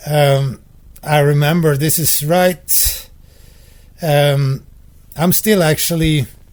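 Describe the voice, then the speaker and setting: A man's fairly high, somewhat breathy voice with a Swedish accent, fairly even intonation, a very slow pace and long, frequent pauses. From Sweden. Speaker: composer and professor. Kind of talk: casual interview chat.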